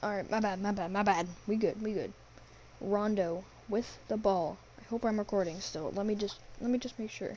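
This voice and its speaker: A quiet, dark, mellow voice at a moderate pace with fairly even intonation. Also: woman, medium pitch for a woman. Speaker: gaming youtuber. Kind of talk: play-by-play commentary over a video game. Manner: quiet, hushed.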